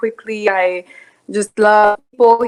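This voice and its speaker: A woman speaks with a French accent at medium pitch and ordinary pitch variation. The sound is dry and close, with no echo. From Ivory Coast. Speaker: parishioner guest. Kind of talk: casual chat.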